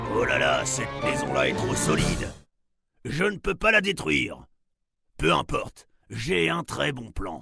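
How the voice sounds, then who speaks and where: A man uses a gruff, put-on character voice at medium pitch and a moderate pace, with faint music in the background. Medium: read story. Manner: gloating, greedy.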